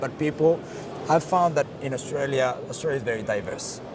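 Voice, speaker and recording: Over noticeable background noise, a man speaks with a Colombian accent. His pace is moderate and his intonation fairly even. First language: Spanish. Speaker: marketing director. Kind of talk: interview.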